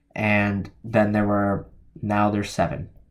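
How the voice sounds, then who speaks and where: With an American accent, the speaker keeps to a moderate pace. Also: man. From New Jersey, US. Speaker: crypto YouTuber. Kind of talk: solo video commentary on crypto research. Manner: hesitant, many fillers.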